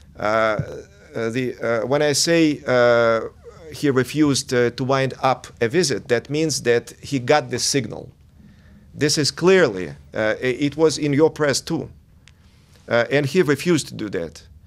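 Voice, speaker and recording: Speaking at a fairly slow pace with a Russian accent, a man leaves long, frequent pauses. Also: medium pitch for a man, ordinary pitch variation. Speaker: diplomat. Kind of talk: TV interview. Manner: halting, many hesitations.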